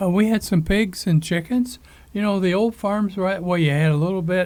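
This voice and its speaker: With an American accent, a man speaks at a high pitch and a moderate pace, using fairly even intonation and very even loudness. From rural Michigan, US Midwest. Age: 80s+. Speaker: farmer, show host. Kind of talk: casual chat. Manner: halting, many fillers.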